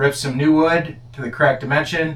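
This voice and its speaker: A man at a moderate pace, with audible room echo. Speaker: home renovation vlogger. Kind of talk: DIY vlog narration. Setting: crawl space under house. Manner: whispering.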